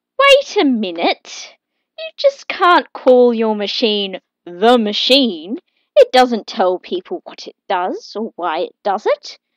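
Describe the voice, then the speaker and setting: Using a put-on character voice, a woman speaks fairly slowly at a fairly high pitch over a quiet background. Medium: read story.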